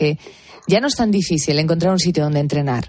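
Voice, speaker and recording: An unremarkable speaking voice, this woman's sits at a fairly low pitch and carries lively intonation. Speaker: late-night radio host. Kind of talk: radio interview. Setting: radio studio.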